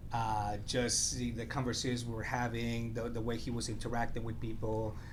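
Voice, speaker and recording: The voice has vocal fry and a monotone, flat intonation. Audible room echo surrounds it. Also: man, medium pitch for a man, moderate pace. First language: not English (English language learner). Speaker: mentor. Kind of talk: casual interview. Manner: halting, many fillers.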